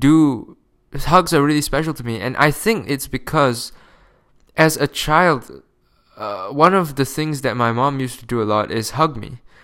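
Speaking at a moderate pace with a non-native accent, a man uses a fairly high pitch and ordinary pitch variation. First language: not English. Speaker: podcast host. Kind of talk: casual monologue. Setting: home recording, close to microphone. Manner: casual, profane.

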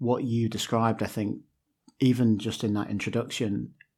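In a very clean recording with a silent background, a plain, everyday voice speaks at a moderate pace with fairly even intonation. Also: man. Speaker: podcast host. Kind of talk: casual interview.

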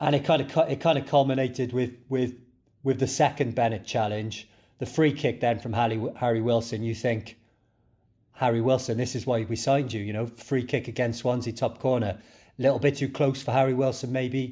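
Against a quiet background, a man with a Cardiff accent talks fairly quickly at a medium pitch, his somewhat breathy voice dark and mellow in tone, with fairly even intonation. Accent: Cardiff Welsh. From Cardiff, Wales. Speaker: podcast co-host. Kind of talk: casual chat.

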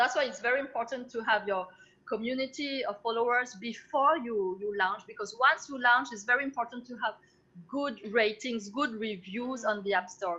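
A woman's fairly high, bright, sharp voice in a French accent, with ordinary pitch variation. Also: moderate pace. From France. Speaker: entrepreneur. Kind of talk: interview.

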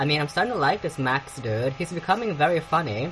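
There is noticeable background noise behind this woman. Her pitch is very deep and low, her pace fairly quick. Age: young. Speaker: podcast host. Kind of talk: casual solo commentary on celebrity news. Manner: halting, many fillers.

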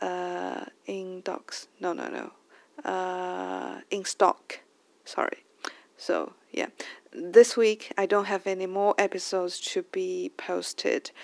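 With a Chinese accent, a woman speaks at a very slow pace, the sound dry and close with no echo. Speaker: podcast host. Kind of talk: casual monologue. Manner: halting.

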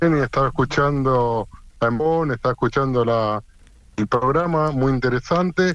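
A man with a Rioplatense accent at a fairly slow pace, medium pitch, ordinary pitch variation and very even loudness. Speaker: football radio host. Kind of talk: interview. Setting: phone call. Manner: talkative.

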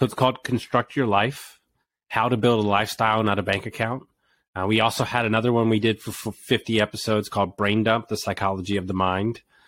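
This man talks at a very fast pace in an American accent with a fairly low pitch. The recording is very clean, with a silent background. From Texas, Houston. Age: 40s. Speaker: business owner and coach. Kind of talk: interview. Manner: animated.

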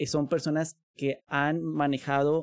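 The sound is dry and close, with no echo. The speaker is a man. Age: 30s. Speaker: linguist and language school director. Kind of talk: casual interview conversation.

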